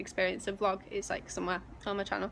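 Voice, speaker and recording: A woman with a Yorkshire accent, medium in pitch and very fast. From northern England, West Yorkshire (near Leeds). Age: 20s. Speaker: vlogger and personal trainer. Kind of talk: casual vlog monologue. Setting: outdoors.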